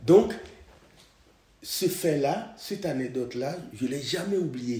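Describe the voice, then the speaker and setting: This man's voice sits fairly high and swings very widely in pitch, moving at a very slow pace. There is audible echo in the room. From Togo. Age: 70s. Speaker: podcast host's father. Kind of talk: personal testimony.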